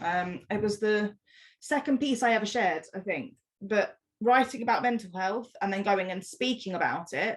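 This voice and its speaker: A woman speaks in a passionate tone at a moderate pace. Her voice is somewhat breathy. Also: fairly high pitch for a woman, ordinary pitch variation. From London. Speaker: spoken word poet. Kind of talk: casual talk to live audience. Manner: passionate, powerful.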